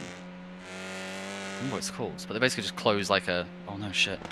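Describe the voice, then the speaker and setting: Amid noticeable background noise, a man with a very deep, low voice talks at a very fast pace with hardly any pauses and big swings in loudness. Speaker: sim racing team driver. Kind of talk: casual chat.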